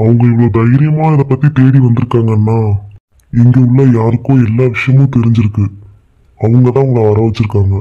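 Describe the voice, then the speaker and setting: Putting on a cartoonish character voice, a man speaks at a medium pitch. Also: moderate pace. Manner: teasing, cheeky.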